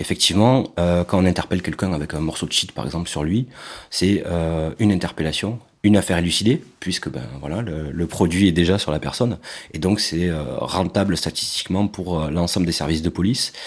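This man's voice sits at a very deep, low pitch. His pitch varies in an ordinary way. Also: fairly quick pace. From southern France, Carcassonne. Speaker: former police officer. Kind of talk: interview testimony. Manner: halting, many hesitations.

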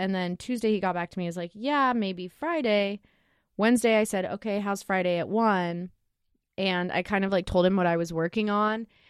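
An American accent marks this woman's ordinary speaking voice, which has ordinary pitch variation. She talks at a fairly quick pace. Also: medium pitch for a woman. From Oregon (Lake Oswego, near Portland). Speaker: graphic designer, studio co-founder. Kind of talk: casual chat.

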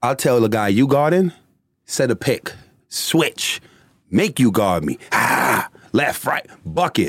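A man talks in an animated tone with a Bronx accent, lively intonation and vocal fry. The sound is dry and close, with no echo. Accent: New York, Bronx. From New York City, the Bronx. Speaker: former professional basketball player and commentator. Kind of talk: casual interview.

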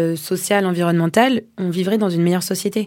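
A woman speaks with a dark, mellow tone at medium pitch and fairly even intonation. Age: 30s. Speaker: social entrepreneur. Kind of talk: interview.

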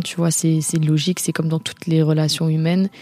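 Noticeable background noise accompanies a woman with very deep, low pitch speaking at a moderate pace in monotone, flat intonation, the sound dry and close with no echo. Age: young. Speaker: film director and DJ. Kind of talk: personal testimony. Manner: hesitant, many fillers and repetitions.

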